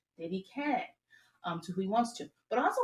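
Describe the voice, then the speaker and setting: A somewhat breathy woman's voice swings very widely in pitch. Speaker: astrology reader. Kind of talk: commentary video. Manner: fast; hesitant fillers.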